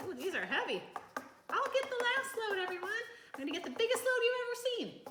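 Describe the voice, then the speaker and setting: A woman puts on a squeaky character voice at an extremely high pitch and talks very fast. Background noise is clearly audible. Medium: read story.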